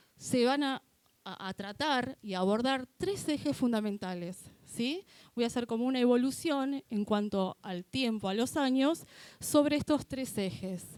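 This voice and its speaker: A woman with a high, dark, mellow voice and lively intonation speaks at a fairly slow pace, the sound dry and close with no echo. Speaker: lawyer, gender policy official. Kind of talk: presentation at a university talk.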